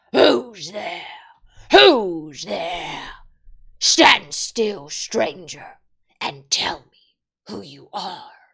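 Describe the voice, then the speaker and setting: A growling put-on character voice at middle pitch moves at a very slow pace with long, frequent pauses. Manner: menacing, challenging.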